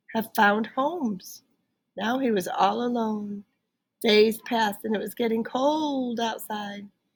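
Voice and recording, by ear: Natural-voiced reading aloud against a quiet backdrop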